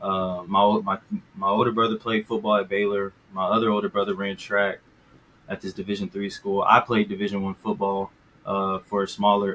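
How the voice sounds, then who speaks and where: A man speaks with an American accent at a fairly quick pace. His intonation is monotone and flat. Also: fairly low pitch for a man. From Texas, Dallas. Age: 20s. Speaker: former college football player, guest. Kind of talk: casual interview. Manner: polite, hesitant.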